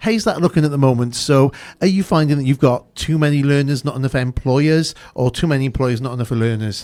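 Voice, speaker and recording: Someone with a South Wales accent speaks at a fairly quick pace with ordinary pitch variation. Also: man, fairly high pitch for a man. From Newport, Wales. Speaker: radio host. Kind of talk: radio interview.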